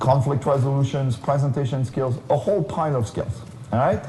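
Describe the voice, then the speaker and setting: Medium in pitch, a man's voice moves along at a fairly quick pace. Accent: French. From France. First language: French. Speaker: keynote speaker, career consultant. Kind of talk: conference keynote talk.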